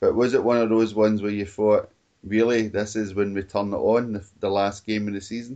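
A man with a Scottish accent talks at a fairly quick pace. His fairly low voice has a dark, mellow tone and a monotone, flat delivery. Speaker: football podcast host. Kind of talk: casual chat.

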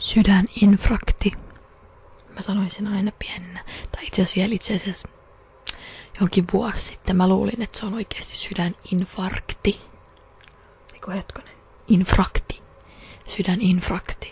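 Soft-spoken and monotone, a woman talks at a fairly slow pace with long, frequent pauses and big swings in loudness. The sound is dry, with no echo. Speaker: practical nurse student. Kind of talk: ASMR trigger words and casual talk. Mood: playful, joking. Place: home room. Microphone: studio mic.

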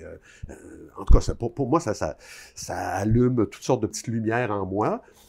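A man speaks in a fairly low voice with a dark, mellow tone and vocal fry. The background is quiet. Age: 60s. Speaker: author; interviewee. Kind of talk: interview. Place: home room. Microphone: lapel.

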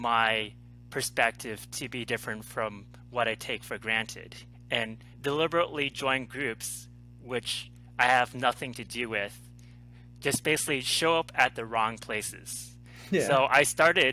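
A man talks at a fairly slow pace, and the sound is dry with no echo. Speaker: interview guest, life coach. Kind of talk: interview answer. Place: home room. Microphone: headset.

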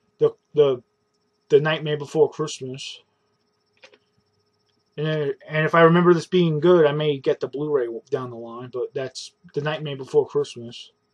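A man talks at a moderate pace with fairly even intonation and long, frequent pauses. The background is quiet. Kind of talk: casual vlog chat. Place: home room. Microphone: webcam.

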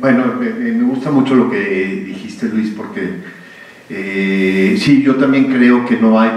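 A man with lively intonation at a very slow pace, with audible room echo. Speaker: public speaker. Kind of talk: public conversation. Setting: stage with audience. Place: hall. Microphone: podium.

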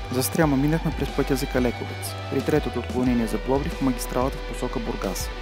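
A man speaks at a very fast pace over background music. The sound is dry, with no echo. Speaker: travel narrator. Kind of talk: documentary narration.

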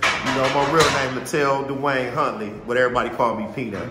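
A man talks at a fairly quick pace. Noticeable background noise can be heard behind him. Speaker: boxing coach. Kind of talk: casual vlog chat. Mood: joking, playful. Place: gym. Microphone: phone near.

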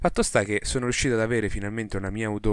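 A man's voice sits fairly low. Behind him the background is silent, on a very clean recording. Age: 20s. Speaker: podcast host, open source programmer. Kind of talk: solo podcast monologue. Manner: casual, improvised.

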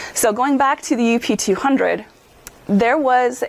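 This woman, with an American accent, talks at a fairly slow pace with ordinary pitch variation in an unremarkable speaking voice. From Upper Peninsula of Michigan. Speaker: physician lecturer. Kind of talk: lecture.

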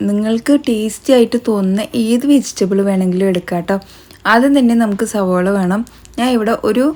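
Over noticeable background noise, a woman talks in a fairly high voice with ordinary pitch variation. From Kerala, Palakkad. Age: 30s. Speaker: vlogger, homemaker. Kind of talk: casual vlog narration; cooking tutorial.

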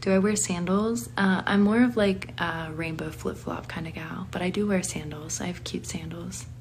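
A woman at a moderate pace with hardly any pauses, over light background noise. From Pennsylvania. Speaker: online content creator. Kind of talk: live stream reading viewer questions. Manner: casual, giggly. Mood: relaxed, friendly. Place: home room. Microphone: phone near.

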